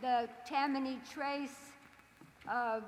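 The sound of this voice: A woman speaks at a very slow pace in a high, bright, sharp voice with fairly even intonation, and the room echo is audible.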